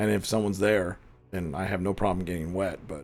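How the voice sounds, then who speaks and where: Putting on a character voice, a man speaks very deep and low, raspy and monotone, at a fairly quick pace, with faint music in the background. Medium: actual play.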